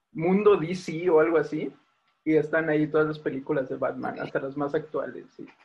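Ordinary pitch variation in a man's fairly high voice, delivered at a moderate pace. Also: long, frequent pauses, big swings in loudness. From Mexico City, Tláhuac. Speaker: podcast co-host. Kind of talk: casual chat.

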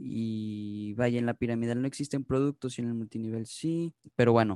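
The man's voice has a dark, mellow tone at medium pitch and a moderate pace. The sound is dry and close with no echo, over a quiet background. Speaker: podcast host. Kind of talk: casual chat.

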